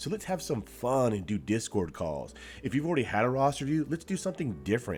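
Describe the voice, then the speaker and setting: A man talks at a very fast pace with very wide pitch swings and vocal fry, his pitch medium. The recording is very clean, with a silent background. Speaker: gaming YouTuber. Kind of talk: casual gameplay commentary. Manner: casual.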